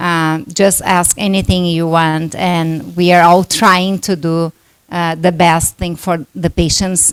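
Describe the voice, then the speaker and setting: A woman's fairly slow, flat, monotone delivery with a Brazilian Portuguese accent. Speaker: doctor, workshop moderator. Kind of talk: conference talk.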